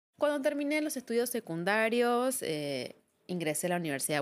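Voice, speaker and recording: A woman speaks with an Argentine accent on a very clean recording with a silent background. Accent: Argentine Spanish (Rioplatense). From Argentina. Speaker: psychologist and podcast host. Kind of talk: reflective solo monologue.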